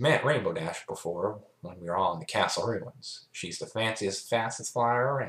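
Lively intonation over plain reading aloud

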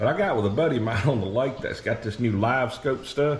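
A man at a moderate pace with ordinary pitch variation and light background noise. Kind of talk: casual vlog chat. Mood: relaxed, enthusiastic. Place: garage. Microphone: phone near.

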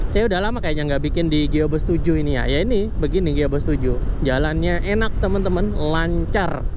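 A man at a fairly quick pace, hardly any pauses, very even loudness, and noticeable background noise. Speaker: motovlogger. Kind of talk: riding vlog narration. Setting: riding a motorcycle outdoors. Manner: casual, rambling. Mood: relaxed, easygoing. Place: motorbike.

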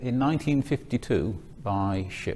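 The man's tone is dark and mellow. He sounds somewhat breathy. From northern England, Manchester. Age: 60s. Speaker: retired accountant and speaker. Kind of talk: talk to students. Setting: stage with audience.

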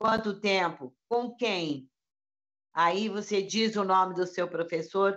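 Against a quiet background, a woman with a medium-pitched voice speaks very slowly, with ordinary pitch variation. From Brazil. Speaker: voice actor. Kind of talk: interview answer. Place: home room. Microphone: video call.

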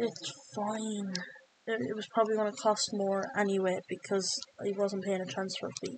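With an Irish accent, a woman of medium pitch speaks at a moderate pace and with fairly even intonation against noticeable background noise. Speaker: video game streamer. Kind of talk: gameplay commentary, live football game stream. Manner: rambling, thinking aloud, flustered when pressured, then focused and muttering.

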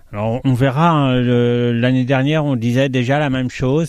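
In a very clean recording with a silent background and a dry, close sound with no echo, a man talks at a fairly slow pace, his medium pitch held in fairly even intonation. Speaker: bookseller. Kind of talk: radio interview. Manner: repeats words, somewhat halting.

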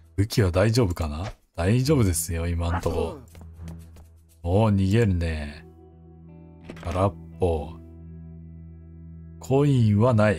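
A man's very deep, low voice with ordinary pitch variation, at a very slow pace with long, frequent pauses, and music in the background. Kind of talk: gameplay commentary. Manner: calm, not loud.

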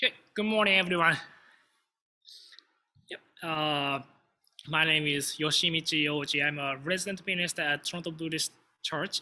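A man talks at a moderate pace with a fairly high pitch, a bright, sharp tone and ordinary pitch variation.

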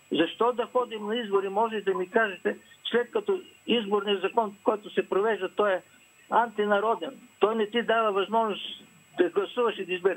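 Fairly even intonation at a moderate pace. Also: man, high pitch for a man. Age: 80s+. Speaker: viewer calling in. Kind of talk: phone-in comment.

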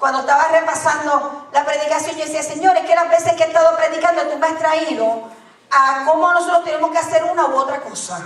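Amid noticeable background noise, a woman speaks fairly quickly at an extremely high pitch with flat, monotone intonation. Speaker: preacher. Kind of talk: sermon. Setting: church.

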